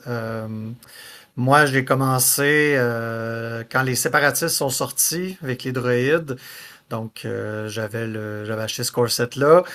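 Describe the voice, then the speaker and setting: This man speaks very slowly with a Quebec accent, at medium pitch with ordinary variation. His tone is bright and sharp. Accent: Québécois French. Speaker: podcast host. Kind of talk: casual podcast talk.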